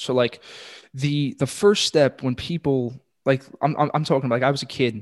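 Recorded dry and close with no echo, a man with an American accent talks at a fairly quick pace with ordinary pitch variation. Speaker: podcast host, financial advisor. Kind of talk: casual chat. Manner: animated.

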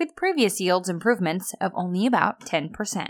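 In a plain, everyday voice, a woman talks at a moderate pace with medium pitch and ordinary pitch variation on a very clean recording with a silent background. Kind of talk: radio news reading, brisk headline delivery. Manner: polished, upbeat, clear and even-paced.

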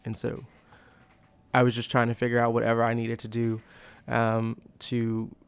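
Here a man with an American accent talks at a moderate pace and medium pitch. His intonation is monotone and flat, on a very clean recording with a silent background. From Texas, The Woodlands. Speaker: college student. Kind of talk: interview.

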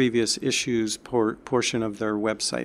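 A man with an American accent is heard in a very clean recording against a silent background. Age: 60s. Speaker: doctor. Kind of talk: interview. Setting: in person.

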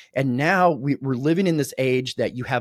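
A man talks at a fairly quick pace with a medium pitch, vocal fry and very wide pitch swings. The recording is very clean with a silent background and a dry, close sound with no echo. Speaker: podcast host. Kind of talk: casual interview. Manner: informal, conversational.

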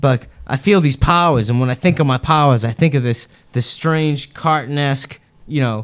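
At a fairly quick pace, a man speaks in an unremarkable speaking voice with ordinary pitch variation. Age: 30s. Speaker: podcast co-host. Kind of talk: casual chat.

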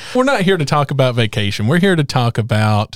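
A man with a plain, everyday voice speaks at a medium pitch in an American accent, with ordinary pitch variation. The sound is dry and close with no echo, and the recording is very clean with a silent background. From rural North Carolina. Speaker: podcast host, business advocate. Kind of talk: interview.

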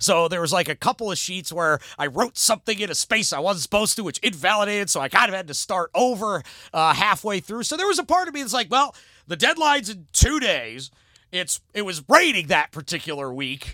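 In a very clean recording with a silent background and a dry, close sound with no echo, a man talks in a raised, projected voice with an American accent. His high pitch has a bright, sharp tone, an animated tone and very wide pitch swings. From US Midwest, Cleveland area, Ohio. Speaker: sports radio station manager and city council candidate. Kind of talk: casual interview. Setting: studio. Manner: loud.

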